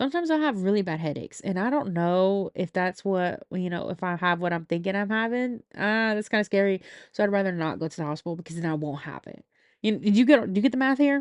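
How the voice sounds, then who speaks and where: At a very fast pace, a woman speaks against a quiet background, the sound dry and close with no echo. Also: medium pitch for a woman, lively intonation. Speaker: podcast host. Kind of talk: casual monologue. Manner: slurred words; low energy.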